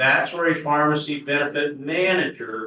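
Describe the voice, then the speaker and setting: A man speaks with a Midwestern US accent. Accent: US Midwest. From Kansas. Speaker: pharmacy business owner. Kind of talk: presentation to an audience. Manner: loud.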